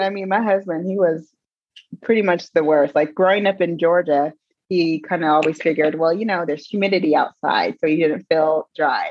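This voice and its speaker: Her voice is a plain, everyday voice, a woman's at fairly low pitch with ordinary pitch variation. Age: 40s. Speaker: fitness and wellness coach. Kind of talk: casual chat.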